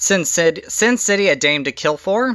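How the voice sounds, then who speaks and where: A shaky voice at a moderate pace. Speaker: YouTuber showing movie collection. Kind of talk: casual collection overview. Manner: hesitant with fillers.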